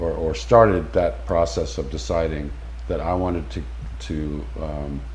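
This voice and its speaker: An American man speaks at a fairly slow pace with very wide pitch swings. Audible room echo surrounds his voice. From California. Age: 50s. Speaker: expat interviewee. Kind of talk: interview. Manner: halting, many repetitions.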